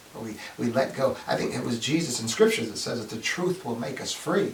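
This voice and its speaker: Amid noticeable background noise and audible room echo, a man talks at a fairly quick pace with an animated tone and lively intonation. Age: 60s. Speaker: video essayist, science and faith commentator. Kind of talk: solo talk to camera. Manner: repetitive stammering restarts.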